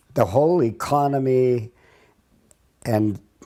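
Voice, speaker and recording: Speaking with an Upper Midwest accent, a man has a dark, mellow tone. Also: very clean recording, silent background. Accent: Upper Midwest rural American. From North Dakota. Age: 80s+. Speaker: retired farmer. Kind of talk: oral history reminiscence. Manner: halting.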